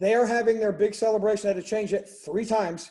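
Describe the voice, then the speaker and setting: A man with a high pitch and a dark, mellow tone talks at a very fast pace. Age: 60s. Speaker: motivational speaker and wedding DJ. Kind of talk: webinar pep talk.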